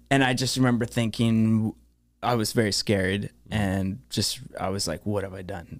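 Speaking at a moderate pace, a man uses a plain, everyday voice, fairly low in pitch, with ordinary pitch variation. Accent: Canadian. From Thunder Bay, Ontario, Canada. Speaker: home inspector. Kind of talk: casual chat. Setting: studio.

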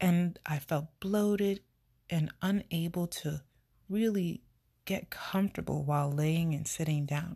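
Over a very clean recording with a silent background, a woman speaks at a fairly slow pace in a dark, mellow, somewhat breathy tone. Her pitch is fairly low, with ordinary pitch variation. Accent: American. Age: 30s. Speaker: podcast host. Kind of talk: personal monologue.

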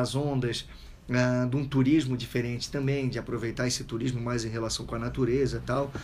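A medium-pitched man, somewhat breathy, fairly quick, with fairly even intonation. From Itajaí, Santa Catarina, southern Brazil. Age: 30s. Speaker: surfer and author. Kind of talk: casual radio interview. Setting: radio studio.

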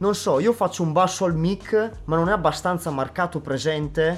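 A man talks with a high pitch that varies in an ordinary way, keeping a moderate pace. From northern Italy, Brescia province. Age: 20s. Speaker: beatboxer. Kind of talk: casual interview. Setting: studio.

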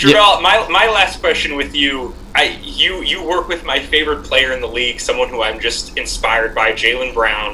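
With an American accent, the speaker moves at a moderate pace with hardly any pauses and very wide pitch swings, over noticeable background noise. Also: man, fairly high pitch for a man. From Massachusetts. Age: 30s. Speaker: podcast co-host. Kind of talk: podcast interview.

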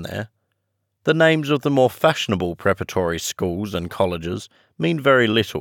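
A man with a warm tone speaks at a moderate pace and a fairly low pitch, his voice making very wide pitch swings. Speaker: audiobook narrator and podcast host. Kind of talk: audiobook reading of classic fiction, with friendly chatty intro and outro. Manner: warm, measured storyteller pacing, slightly hushed and earnest voice for quoted dialogue; friendly, conversational, and relaxed when speaking as himself.

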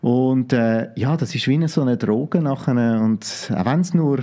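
At a moderate pace, the voice carries a Zurich accent, a dark, mellow tone, and lively intonation. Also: man. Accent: Zurich Swiss German-accented German. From Switzerland, Zurich. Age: 30s. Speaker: coach and former pro wrestler. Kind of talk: podcast interview.

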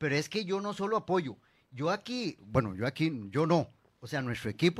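A man with a Costa Rican accent talks at a moderate pace and a high pitch, with very wide pitch swings, in a very clean recording with a silent background. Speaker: mayoral candidate. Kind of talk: radio interview. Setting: radio studio. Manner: halting.

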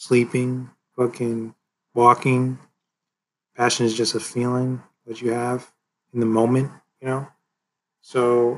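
Speaking at a moderate pace, a man with a medium pitch stays monotone and flat, with long, frequent pauses. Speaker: podcast host. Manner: rambling, many fillers.

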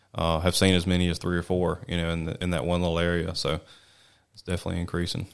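Very deep and low, a man's voice carries a Mississippi accent. He talks at a very fast pace with monotone, flat intonation. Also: very clean recording, silent background. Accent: US Southern (Mississippi). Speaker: wildlife biologist. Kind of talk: interview. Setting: studio.

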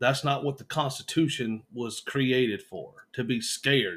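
In a Southern US accent, a man talks at a fairly slow pace. His medium pitch shows ordinary variation. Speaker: podcast host's husband. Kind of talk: casual chat. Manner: radio-host style delivery.

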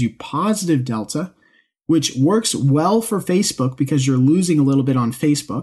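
Pitched fairly high and somewhat breathy, a man speaks. His pace is moderate against a quiet background. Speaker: trading podcast host. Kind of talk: solo podcast monologue.

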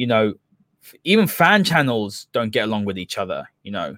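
A man with a London accent talks fairly quickly with very wide pitch swings, recorded very cleanly in a dry, close sound with no echo and a silent background. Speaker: football podcast host. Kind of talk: casual football analysis chat.

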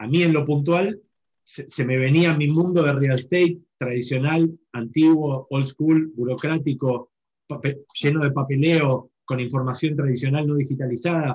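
Fairly high in pitch, a man with a Rioplatense accent speaks at a fairly slow pace. His voice is somewhat breathy, with fairly even intonation. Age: 40s. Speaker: real estate entrepreneur. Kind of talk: webinar panel talk.

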